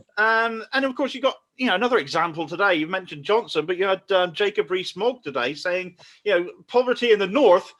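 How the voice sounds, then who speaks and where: A man speaks in a high voice at a fairly quick clip, with a Cornish accent. The recording is very clean, with a silent background. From Cornwall, England. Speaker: online political show host. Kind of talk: casual interview chat. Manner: animated, ranting.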